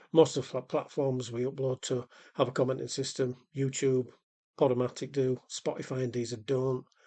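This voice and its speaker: With a Yorkshire accent, this man speaks in a dark, mellow tone. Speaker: podcast host. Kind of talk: casual chat; scripted intro.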